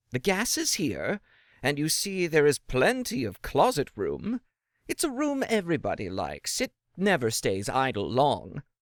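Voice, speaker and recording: In a very clean recording with a silent background and a dry, close sound with no echo, a man puts on a guttural character voice with fairly high pitch at a moderate pace. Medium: read story. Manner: ingratiating, rambling.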